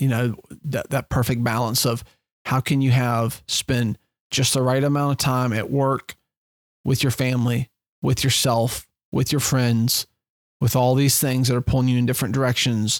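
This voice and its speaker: A man's medium-pitched voice, monotone and flat, at a very even loudness. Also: moderate pace, dry, close sound with no echo. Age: 40s. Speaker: fishing guide and podcast host. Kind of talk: solo podcast monologue. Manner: casual with many fillers.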